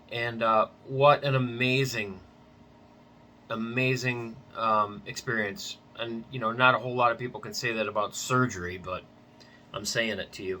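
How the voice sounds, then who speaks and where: Pausing often and at length, a man talks at a moderate pace and medium pitch, his intonation fairly even and his loudness swinging widely. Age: 60s. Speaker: patient vlogger. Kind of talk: personal vlog testimony. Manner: casual, hesitant with many fillers.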